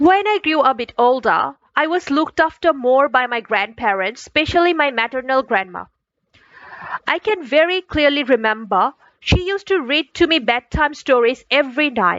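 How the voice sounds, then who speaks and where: Her high-pitched voice moving in very wide pitch swings, a woman speaks at a moderate pace. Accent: Bangladeshi. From Bangladesh. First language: Chakma. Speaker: student. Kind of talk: scripted narration.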